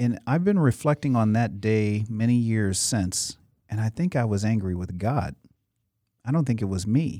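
A man with an American accent speaks at a moderate pace, his medium pitch carrying lively intonation. His tone is dark and mellow, and the recording is very clean with a silent background. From US Midwest (Cleveland, Chicago suburbs). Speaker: motivational speaker and youth mentor. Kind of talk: interview.

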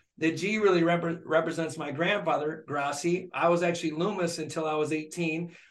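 Speaking in a high pitch with an American accent, a man talks at a moderate pace with hardly any pauses and monotone, flat intonation, amid noticeable background noise and audible room echo. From Michigan, Flint. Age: 50s. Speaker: dentist. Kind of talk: casual interview.

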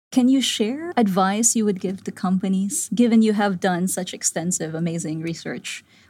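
A woman's dark, mellow, somewhat breathy voice at a medium pitch and moderate pace, with ordinary pitch variation, hardly any pauses, and a very clean recording with a silent background. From Philippines (Manila). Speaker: CEO and founder of women's leadership platform. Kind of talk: conversation.

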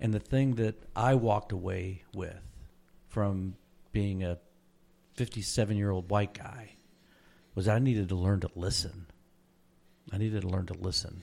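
The man's voice is fairly low in pitch, with a dark, mellow tone and fairly even intonation. He keeps a moderate pace with long, frequent pauses. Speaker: podcast host. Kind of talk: casual interview.

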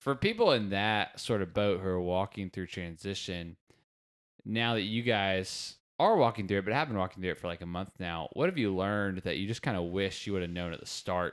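Fairly quick and fairly low in pitch, a man speaks with an ordinary speaking voice and ordinary pitch variation in a very clean recording against a silent background. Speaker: podcast host. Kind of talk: casual chat.

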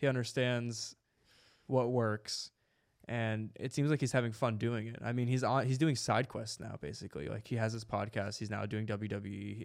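An ordinary speaking voice from a man, medium-pitched, at a moderate pace and with ordinary pitch variation. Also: very clean recording, silent background. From New Jersey, Jersey City. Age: 20s. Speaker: podcast host. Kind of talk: casual chat.

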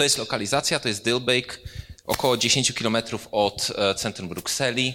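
Fairly even intonation and a moderate pace come through in a plain, everyday voice. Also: man, medium pitch for a man. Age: 30s. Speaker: architect. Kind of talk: lecture.

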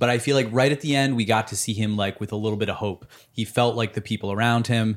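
A man with a plain, everyday voice at medium pitch, fairly quick pace and fairly even intonation, in a very clean recording with a silent background. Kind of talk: casual chat.

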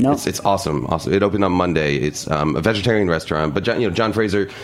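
Through noticeable background noise, a man with an American accent speaks with very deep, low pitch and lively intonation. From New York City (Harlem). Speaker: cookbook author. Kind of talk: casual chat. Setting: studio.

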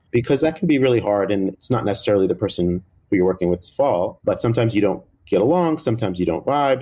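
Using lively intonation, a man with a medium-pitched voice speaks with an American accent. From New Jersey. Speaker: cookbook co-author and food writer. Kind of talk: interview conversation.

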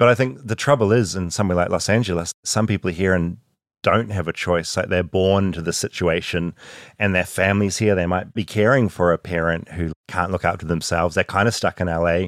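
A man with a New Zealand accent, very deep and low in pitch, at a fairly quick pace, on a very clean recording with a silent background. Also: ordinary pitch variation, dry, close sound with no echo. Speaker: podcast host and storyteller. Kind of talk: scripted narration with interview clips.

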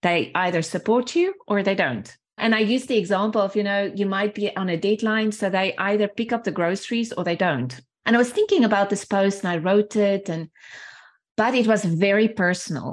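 Against a quiet background, a woman with a South African accent speaks fairly quickly at a medium pitch. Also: ordinary pitch variation. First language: Afrikaans. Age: 40s. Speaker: sales training and development leader. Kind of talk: casual interview conversation.

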